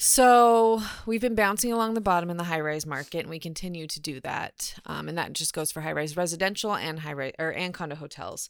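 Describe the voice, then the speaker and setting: On a very clean recording with a silent background, a woman with an American accent and an ordinary speaking voice talks at a fairly quick pace with hardly any pauses, lively intonation and a fairly low pitch. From Orange County, California. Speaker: real estate agent. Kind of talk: casual interview.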